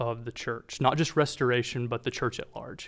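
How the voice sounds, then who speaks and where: A medium-pitched man with an American accent on a very clean recording with a silent background. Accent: Southern US, mostly masked. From North Carolina. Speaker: church discipleship director. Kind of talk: sermon. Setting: church with congregation. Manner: halting, many fillers.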